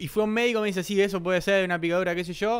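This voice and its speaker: Against a quiet background, a man speaks in a Rioplatense accent. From Buenos Aires, Argentina. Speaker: podcast host. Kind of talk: casual comedy chat. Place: studio. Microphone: studio mic.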